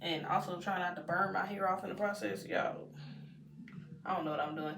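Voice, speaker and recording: This woman has a Texan accent. Noticeable background noise runs behind her. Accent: Texan American English. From Texas. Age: 20s. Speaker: lifestyle vlogger. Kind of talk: casual day-in-the-life talk to camera.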